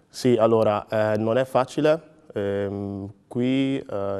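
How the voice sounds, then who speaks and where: A man with a fairly low pitch and a dark, mellow tone speaks with ordinary pitch variation. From Ghana, then Emilia-Romagna from age 11. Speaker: sprinter and logistics worker; interviewee. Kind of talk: interview. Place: studio.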